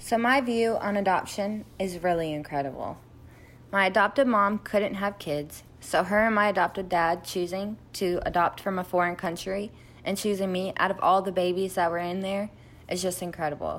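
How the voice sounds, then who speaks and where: Fairly even intonation at a moderate pace, with a North Carolina accent. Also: woman, medium pitch for a woman. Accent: North Carolina American. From US South. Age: 20s. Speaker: adoptee sharing her story.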